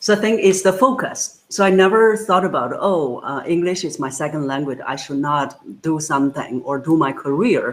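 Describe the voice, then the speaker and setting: A woman with a Chinese accent, at a moderate pace. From China. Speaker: voice coach. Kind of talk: interview.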